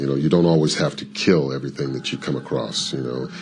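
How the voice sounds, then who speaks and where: Amid noticeable background noise, a man with a resonant, very deep, low voice speaks at a fairly quick pace with ordinary pitch variation. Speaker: voice actor. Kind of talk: interview. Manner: halting, many fillers.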